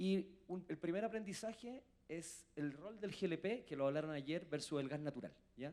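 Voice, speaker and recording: Speaking at a moderate pace, a man with a Chilean accent has a fairly high pitch. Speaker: industry association president. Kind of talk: conference panel talk.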